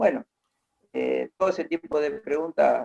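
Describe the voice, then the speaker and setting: A man with a fairly high pitch and a dark, mellow tone. The sound is dry and close, with no echo. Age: 60s. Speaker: interviewee recounting local history. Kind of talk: oral history interview.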